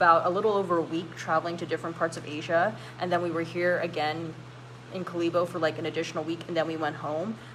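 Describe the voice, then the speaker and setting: A woman with an American accent talks at a very fast pace in a fairly low voice. Her intonation is monotone and flat, and there is noticeable background noise. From California, US. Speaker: YouTuber hosting a live stream. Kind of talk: casual live stream chat, reading comments. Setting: live stream. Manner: casual, many fillers.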